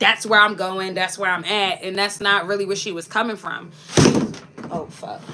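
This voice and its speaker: A woman talks at a medium pitch. Background noise is noticeable throughout. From Philadelphia, US. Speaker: lifestyle vlogger. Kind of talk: casual live-stream chat. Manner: animated.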